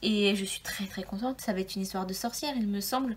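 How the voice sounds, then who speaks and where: Noticeable background noise surrounds a woman speaking at a medium pitch with fairly even intonation. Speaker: book YouTuber. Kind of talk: casual video monologue. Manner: hesitant, many fillers.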